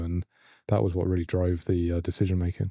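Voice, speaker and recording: A man with an English accent speaks at a very deep, low pitch in a dark, mellow tone. The recording is very clean with a silent background and a dry, close sound with no echo. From England, London. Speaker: spine surgeon. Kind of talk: podcast interview.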